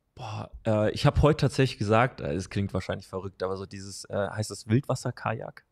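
A man talks at a fairly quick pace with hardly any pauses and vocal fry. His pitch variation is ordinary, while his loudness swings widely. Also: fairly low pitch for a man, quiet background. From Hesse, Germany. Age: 20s. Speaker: strength and conditioning coach; conditioning coach. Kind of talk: casual interview. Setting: in person, same room. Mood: relaxed, friendly, smiling. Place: home room. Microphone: studio mic.

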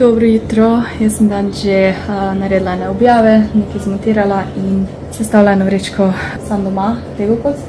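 Over music in the background, a woman speaks with monotone, flat intonation. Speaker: vlogger. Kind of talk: casual vlog chat. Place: kitchen. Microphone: phone near.

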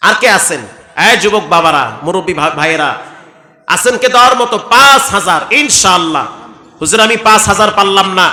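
Raising and projecting his high voice with lively intonation, a man speaks amid audible room echo and noticeable background noise. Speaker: Islamic preacher. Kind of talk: sermon; fundraising appeal.

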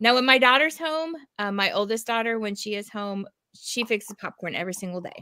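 Against a quiet background, a woman with a fairly high pitch and a bright, sharp tone talks at a fairly quick pace, her intonation lively and her loudness swinging widely. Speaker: educator and co-host. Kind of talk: casual chat. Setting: video call. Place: home room.

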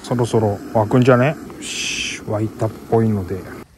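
A man is heard in a dry sound with no echo, with noticeable background noise. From Miyagi, Tohoku. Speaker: motovlogger. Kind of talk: casual talk to camera. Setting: outdoors. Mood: relaxed, pleased. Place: open country. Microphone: phone near.

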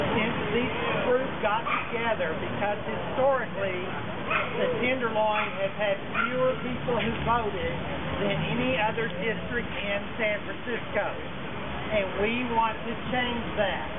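A man talks fairly slowly, pausing long and often, over loud background noise. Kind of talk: rally speech. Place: street. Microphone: camera far.

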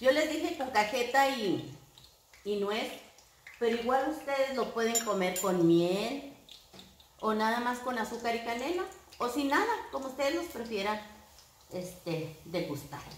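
Amid light background noise and audible room echo, a woman with a fairly high pitch speaks at a fairly slow pace, swinging widely in pitch and pausing long and often. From northern Mexico, Coahuila. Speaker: home cooking youtuber. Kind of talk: cooking tutorial. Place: kitchen. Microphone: camera far.

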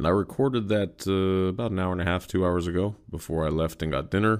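The background stays quiet while a man talks. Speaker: podcast host. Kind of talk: casual solo podcast monologue. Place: home room.

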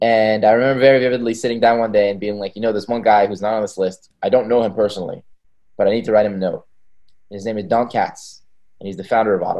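At a very fast pace, a man with medium pitch speaks in a monotone, flat way against a quiet background. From Israel. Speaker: tech startup founder; podcast guest. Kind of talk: interview conversation. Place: home room. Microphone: video call.

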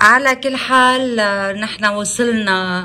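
In a Lebanese accent, a woman speaks at a very slow pace with a fairly high pitch and ordinary pitch variation. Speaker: journalist, editor-in-chief. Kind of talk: interviewer on phone. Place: home room. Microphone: phone near.

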